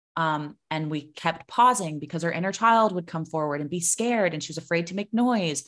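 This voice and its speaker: A woman's ordinary speaking voice, fairly low in pitch with ordinary pitch variation, at a fairly quick pace with hardly any pauses, in a very clean recording against a silent background. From US South (Florida). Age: 20s. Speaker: singing and voice coach. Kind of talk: casual interview.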